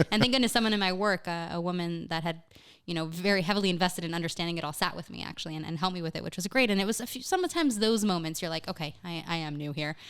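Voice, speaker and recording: A woman with an American accent talks very fast at a fairly low pitch, with ordinary pitch variation. The recording is very clean, with a silent background. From Miami, Florida, US. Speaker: communications manager, new immigrant. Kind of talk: podcast interview. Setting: studio.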